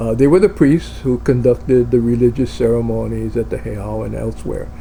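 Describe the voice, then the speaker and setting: With a Hawaiian accent, a man talks at a moderate pace over noticeable background noise. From Hawaii (Oahu). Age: 70s. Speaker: video blogger. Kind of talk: casual monologue. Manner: hesitant, many fillers.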